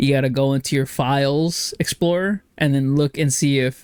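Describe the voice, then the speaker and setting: Recorded very cleanly against a silent background, with a dry, close sound and no echo, a man with an American accent speaks at a moderate pace, fairly high in pitch with fairly even intonation. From Texas. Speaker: podcast co-host. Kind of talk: casual chat.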